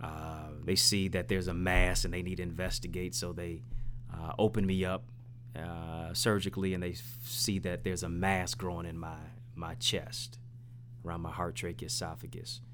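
This man's voice sits very deep and low, with ordinary pitch variation. He speaks at a moderate pace. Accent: American. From Detroit, east side. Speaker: motivational speaker and author. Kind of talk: interview. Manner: animated.

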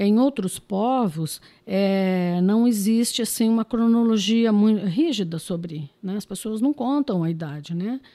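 Over a silent background in a very clean recording, a woman talks at a fairly slow pace in a fairly high voice with a dark, mellow tone, ordinary pitch variation, and a dry, close sound with no echo. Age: 50s. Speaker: anthropologist. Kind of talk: podcast interview.

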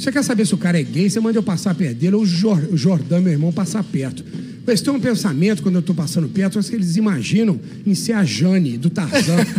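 A high-pitched man at a very fast pace, with lively intonation and very even loudness, over noticeable background noise. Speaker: gym owner and bodybuilder. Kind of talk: radio interview. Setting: radio studio.

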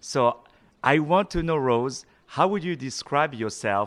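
A man speaks at a moderate pace with a non-native accent, his pitch swinging very widely. The recording is very clean, with a silent background. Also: dry, close sound with no echo. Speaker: podcast host. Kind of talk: interview. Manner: animated.

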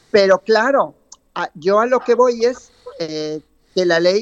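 A woman's very slow speech with ordinary pitch variation, dry and close with no echo. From South America. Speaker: artist. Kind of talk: radio interview.

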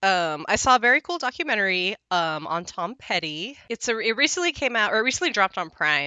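A woman talks at a fairly quick pace with hardly any pauses. Her medium pitch makes very wide swings. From Southern California, Mexican-American. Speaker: podcast co-host. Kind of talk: casual chat.

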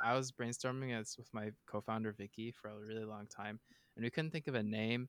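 An unremarkable speaking voice from a man, medium in pitch, with fairly even intonation at a moderate pace, dry and close with no echo. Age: 20s. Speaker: startup founder and student. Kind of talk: casual chat.

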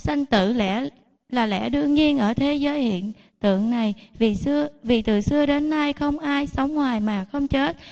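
Speaking fairly slowly with very even loudness, a woman uses a high pitch and ordinary pitch variation. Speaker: lay Buddhist devotee. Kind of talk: ceremonial address. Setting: temple.

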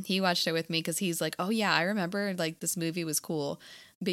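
A woman speaks in an unremarkable speaking voice, fairly low in pitch, with ordinary pitch variation at a fairly quick pace. The recording is very clean with a silent background. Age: 20s. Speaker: podcast co-host. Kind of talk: casual chat.

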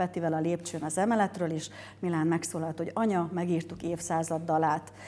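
A woman talks very fast in a fairly low voice with a dark, mellow tone. Her intonation stays monotone and flat. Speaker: mother of athletes. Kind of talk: interview chat.

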